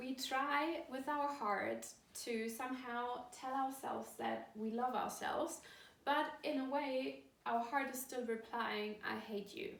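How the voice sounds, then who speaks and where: In a German accent, a woman speaks fairly slowly in a high voice with ordinary pitch variation, and audible room echo surrounds her. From Germany. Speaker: course founder and coach. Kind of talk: video talk to camera.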